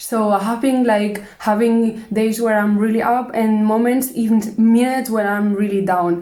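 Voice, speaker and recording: A woman talks at a moderate pace with hardly any pauses and very even loudness. Her fairly high pitch stays monotone and flat. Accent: Spanish. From Spain. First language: Spanish. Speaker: vlogger. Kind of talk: casual monologue vlog. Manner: hesitant, halting.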